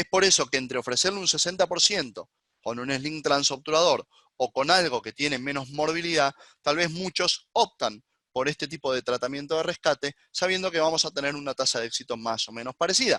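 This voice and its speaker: A man speaks at a fairly quick pace with a fairly high pitch, a bright, sharp tone, ordinary pitch variation, and a dry, close sound with no echo. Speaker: gynecologist. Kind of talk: lecture. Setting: webinar. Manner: fast.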